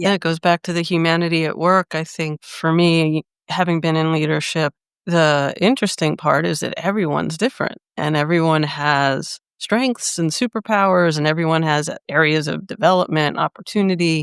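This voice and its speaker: A woman talks in a normal speaking voice, fairly low in pitch, at a moderate pace with hardly any pauses and ordinary pitch variation, the sound dry and close with no echo. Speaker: executive coach and podcast host. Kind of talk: podcast interview host.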